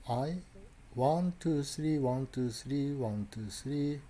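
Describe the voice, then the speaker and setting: With a Japanese accent, the voice has a dark, mellow tone and is somewhat breathy, with audible room echo. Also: man. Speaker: lecturer. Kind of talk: lecture. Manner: halting.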